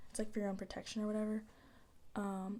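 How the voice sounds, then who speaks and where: A soft-spoken woman talks at a medium pitch, sounding somewhat breathy. Her tone is dark and mellow. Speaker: ASMR creator. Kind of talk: casual soft-spoken ASMR talk to camera.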